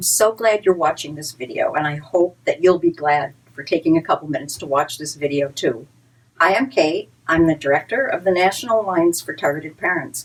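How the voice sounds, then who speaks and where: A woman with a plain, everyday voice, fairly low in pitch, with lively intonation, a fairly quick pace and big swings in loudness. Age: 60s. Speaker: advocacy group director. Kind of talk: direct-to-camera talk. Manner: earnest, conversational with repetitions.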